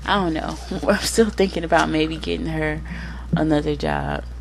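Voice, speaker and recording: Speaking at a moderate pace with an American accent, a woman sounds animated over noticeable background noise and audible room echo. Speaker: gaming youtuber. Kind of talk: casual gameplay commentary. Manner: chatty, animated.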